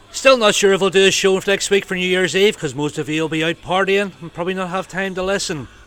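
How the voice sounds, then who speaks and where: Noticeable background noise sits behind a man with a Northern Irish accent and a high pitch. He talks very fast with hardly any pauses and ordinary pitch variation. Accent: Northern Irish (Belfast). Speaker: rock radio DJ. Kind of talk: radio DJ links between songs. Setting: radio studio. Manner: casual, chatty.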